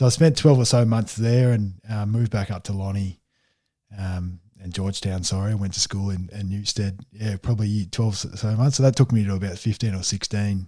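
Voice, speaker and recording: On a very clean recording with a silent background, a man with an Australian accent speaks fairly quickly in a fairly low, dark, mellow, somewhat breathy voice with fairly even intonation. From Tasmania. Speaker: football player. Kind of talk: interview. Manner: halting.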